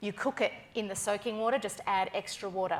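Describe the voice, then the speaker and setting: In a strong Australian accent, a woman speaks with a fairly high pitch and an animated tone. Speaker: food personality and cook. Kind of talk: keynote stage interview.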